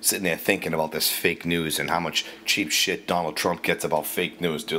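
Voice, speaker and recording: A man's very deep, low voice at a moderate pace. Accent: Boston. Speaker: radio ranter. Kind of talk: casual rant. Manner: profane, animated.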